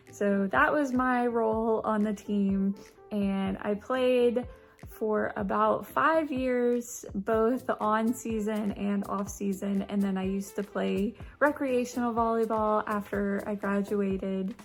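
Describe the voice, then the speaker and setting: A woman with an American accent at a very slow pace, fairly high in pitch with ordinary pitch variation, music in the background. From US South. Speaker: YouTuber. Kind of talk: casual vlog talk. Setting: away from home, not usual setup.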